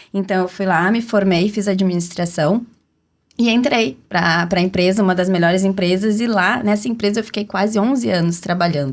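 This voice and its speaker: A woman's medium-pitched voice in a southern Brazilian accent, with ordinary pitch variation, a moderate pace and very even loudness. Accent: gaúcho southern Brazilian Portuguese. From Rio Grande do Sul, southern Brazil (city of Rio Grande). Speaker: entrepreneur and brand strategist, podcast panel guest. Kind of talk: personal life story in podcast conversation.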